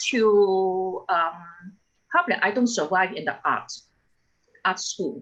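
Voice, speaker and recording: Speech comes at a fairly slow rate. Its tone is bright and sharp. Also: woman. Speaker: engineering alum panelist. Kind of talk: panel discussion. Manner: halting.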